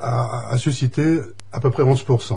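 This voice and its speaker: A man talks over noticeable background noise. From western France (Deux-Sèvres). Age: 60s. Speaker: election candidate. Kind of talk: radio interview.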